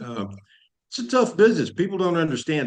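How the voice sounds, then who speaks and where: The background is quiet as a man speaks at a fairly quick pace. His pitch variation is ordinary. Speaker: actor and entrepreneur. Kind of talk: interview.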